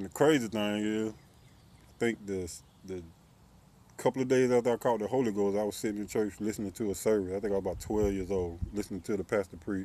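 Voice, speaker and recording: The voice has a dark, mellow tone, fairly even intonation and a fairly quick pace. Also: man, fairly low pitch for a man, dry sound with no echo. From US South, Columbia, South Carolina; South Carolina. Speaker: YouTuber. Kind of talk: personal vlog monologue. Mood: critical, earnest about religion. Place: street. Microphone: phone near.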